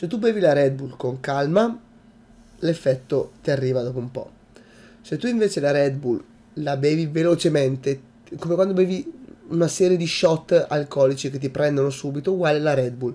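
A man with a fairly high pitch and a dark, mellow tone talks at a moderate pace. His pitch varies in an ordinary way, with long, frequent pauses. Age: 20s. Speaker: YouTuber. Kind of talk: vlog monologue. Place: home room. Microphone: webcam.

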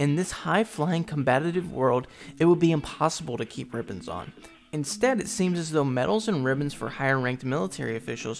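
Music plays in the background as a man speaks at a fairly quick pace. His fairly high pitch carries lively intonation. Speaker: anime commentary youtuber. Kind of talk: video essay narration.

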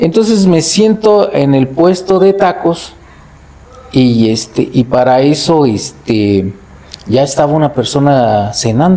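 A man speaks at a very slow pace in a fairly high pitch, with very wide pitch swings and very even loudness. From Mexico, Cuitzeo, Michoacán; Michoacán, Mexico. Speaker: festival committee president; storyteller guest or host. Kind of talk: storytelling; casual chat. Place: home room. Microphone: lapel.

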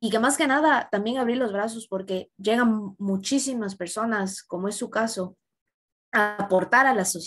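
Fairly slow, fairly high female speech with ordinary pitch variation. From Ecuador. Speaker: student interviewer. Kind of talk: interview. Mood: warm, appreciative. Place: home room. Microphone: webcam.

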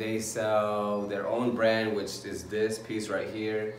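A man at a very slow pace, with audible room echo and light background noise. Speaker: vlogger. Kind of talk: casual vlog chat, clothing haul. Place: home room. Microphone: phone near.

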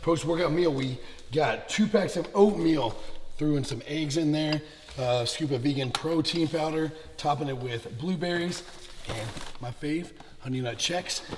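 A man with a fairly high pitch speaks at a moderate pace, with ordinary pitch variation and long, frequent pauses. Background noise is noticeable. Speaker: fitness vlogger and bodybuilder. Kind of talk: casual vlog. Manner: casual, profane.

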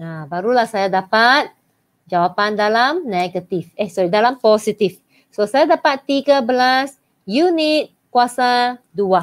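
A woman talks fairly slowly at a fairly high pitch. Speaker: maths teacher. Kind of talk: online live lesson. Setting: live stream.

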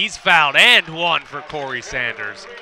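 A man talks at a very slow pace, the sound dry and echo-free, with light noise in the background. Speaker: basketball play-by-play announcer. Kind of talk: live sports play-by-play commentary. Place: stadium. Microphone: headset.

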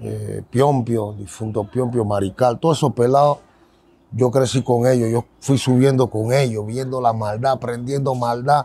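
A man talks at a fairly slow pace with fairly even intonation and long, frequent pauses. The sound is dry, with no echo. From Panama, San Miguelito. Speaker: ex-convict turned preacher. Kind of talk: testimony. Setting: outdoors. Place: street. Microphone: handheld.

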